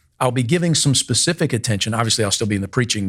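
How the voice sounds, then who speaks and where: In an American accent, a man talks at a medium pitch, sounding somewhat breathy. The recording is very clean and the background silent. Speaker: pastor. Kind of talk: casual chat. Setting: video recording.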